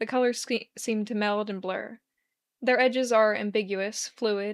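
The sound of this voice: Against a quiet background comes an unforced reading voice.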